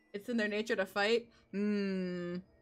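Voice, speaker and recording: A woman talks at a mid-range pitch with music behind her. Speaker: VTuber. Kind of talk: scary story reading. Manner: casual, conversational, with interjected asides.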